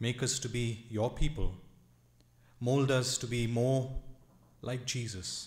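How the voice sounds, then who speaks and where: In a room with audible echo, a man speaks very slowly in a somewhat breathy voice. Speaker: pastor. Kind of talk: prayer. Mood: calm, reverent. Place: church. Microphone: podium.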